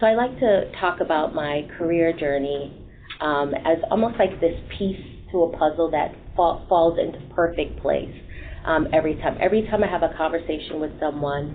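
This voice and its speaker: Noticeable background noise behind a woman's moderate-paced speech. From Jamaica, moved to Boston at 11. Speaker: human resources executive. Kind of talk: panel talk.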